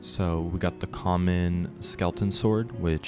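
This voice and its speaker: Music plays in the background. A man talks at a fairly slow pace in a very deep, low pitch. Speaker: gamer, streamer. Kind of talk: game guide narration.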